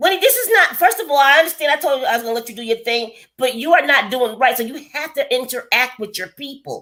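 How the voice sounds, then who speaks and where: The voice is raised and projected, bright and sharp, with lively intonation, a very fast pace and hardly any pauses. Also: woman, high pitch for a woman, big swings in loudness. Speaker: lifestyle vlogger hosting a live stream. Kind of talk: casual chat. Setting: live stream. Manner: loud; varying pitch when explaining.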